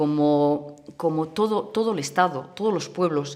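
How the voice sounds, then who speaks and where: The speaker has a Catalan accent. The pace is fairly slow. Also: woman. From Catalonia, Spain (small town near Barcelona). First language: Catalan (speaking Spanish). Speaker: communist party activist. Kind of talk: documentary interview. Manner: halting, with many false starts.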